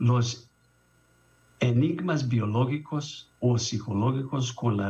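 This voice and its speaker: A man's somewhat breathy voice of medium pitch, at a very slow pace. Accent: non-native. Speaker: international conference speaker, doctor. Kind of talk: conference presentation. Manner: halting.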